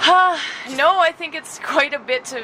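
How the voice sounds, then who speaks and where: With noticeable background noise behind her, a woman speaks with a Canadian accent and ordinary pitch variation. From Nova Scotia, Canada. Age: 40s. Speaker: young adult novelist. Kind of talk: casual interview chat.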